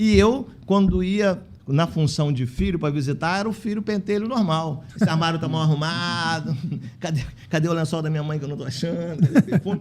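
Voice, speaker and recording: His delivery moves along fairly quickly. This man's pitch rises and falls in an ordinary way. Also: fairly high pitch for a man. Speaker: physician and elder-care facility manager, union president. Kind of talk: podcast interview. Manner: fast.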